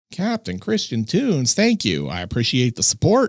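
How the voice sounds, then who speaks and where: An animated man in an American accent, with vocal fry, very wide pitch swings and a moderate pace, on a very clean, dry, close recording with a silent background and no echo. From Pittsburgh, US. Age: 40s. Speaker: horror movie YouTuber. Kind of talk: casual livestream chat. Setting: livestream. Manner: campy, animated delivery; stumbling over words.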